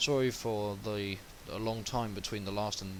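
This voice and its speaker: Fairly low male voice at a moderate pace, fairly even intonation, noticeable background noise. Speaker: web development tutorial maker. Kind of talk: screen-recorded coding tutorial. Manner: halting, self-described stuttering.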